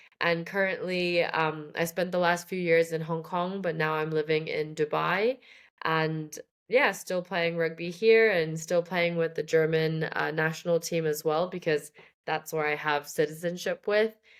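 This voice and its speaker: A woman with an American accent speaks at a fairly slow pace and fairly low pitch, her intonation fairly even. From Shanghai, China (American school). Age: 20s. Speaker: rugby player. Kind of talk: podcast interview. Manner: hesitant, many fillers.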